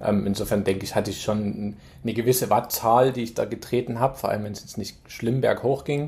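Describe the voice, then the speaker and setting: The delivery moves at a fairly quick pace with fairly even intonation. The voice is somewhat breathy. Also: man, medium pitch for a man. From Saxony, Germany (Chemnitz). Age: 40s. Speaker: amateur triathlete. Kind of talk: casual chat. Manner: halting, with many fillers.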